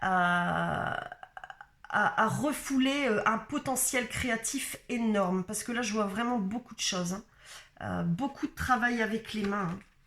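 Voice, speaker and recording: A woman's fairly high-pitched voice at a very slow pace, with ordinary pitch variation and music in the background. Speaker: spiritual coach / card reader. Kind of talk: channeled guidance reading. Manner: halting, many hesitations.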